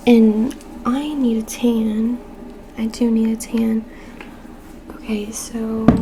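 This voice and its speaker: A very slow, soft-spoken woman with flat, monotone intonation, long and frequent pauses, and noticeable background noise. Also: fairly high pitch for a woman. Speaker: mother, ASMR creator. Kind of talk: ASMR soft-spoken makeup video, casual talk to camera. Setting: quiet home with rain and sound machine background. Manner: soft-spoken, casual, chatty.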